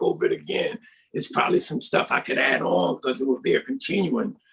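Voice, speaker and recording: A man is speaking. His pace is fairly quick. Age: 60s. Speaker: pastor and author. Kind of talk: interview. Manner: informal, conversational.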